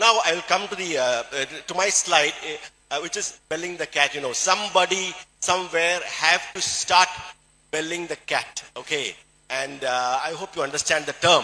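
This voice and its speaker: A man speaks in a Keralan accent at a high pitch for a man. His pace is moderate, with ordinary pitch variation. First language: Malayalam. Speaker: doctor and health product speaker. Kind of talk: motivational health talk.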